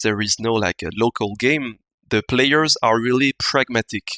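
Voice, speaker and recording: A man in a French accent, medium in pitch, fairly slow in pace, with ordinary pitch variation. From France, Ardèche. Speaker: wargaming community member. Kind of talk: casual chat. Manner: halting.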